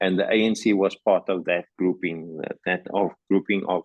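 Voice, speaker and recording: A man speaks in a very deep, low pitch at a moderate pace. His intonation is monotone and flat. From South Africa, Cape Town area. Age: 60s. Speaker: anti-apartheid activist and former teacher. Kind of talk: interview. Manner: halting, many repetitions and fillers.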